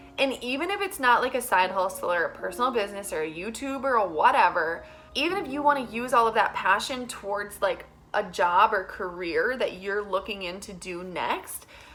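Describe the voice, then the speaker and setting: Against noticeable background noise, a woman with a fairly high pitch speaks with lively intonation. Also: fairly quick pace. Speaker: health coach and vlogger. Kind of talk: casual vlog monologue. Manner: fast; loud.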